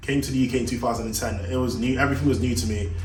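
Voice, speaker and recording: A man talks at a very fast pace with a medium pitch. The room echo is audible and the background noise is noticeable. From Jamaica. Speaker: shoe business owner. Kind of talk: personal vlog monologue. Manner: casual, halting.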